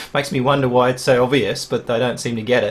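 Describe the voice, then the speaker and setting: A man talks in a medium pitch while music plays in the background. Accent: Australian. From Australia. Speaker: podcast host. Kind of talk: interview conversation.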